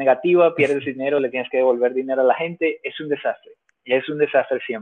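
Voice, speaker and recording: A man's fairly high voice, fairly quick in pace, with fairly even intonation. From Venezuela. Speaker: emigrant entrepreneur. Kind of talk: casual interview.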